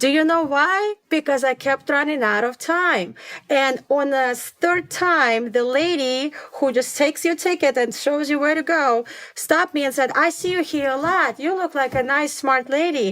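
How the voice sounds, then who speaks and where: Using a high pitch with ordinary variation, a woman with a non-native accent speaks at a moderate pace with very even loudness. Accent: foreign. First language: not English. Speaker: elementary school principal. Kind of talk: interview conversation.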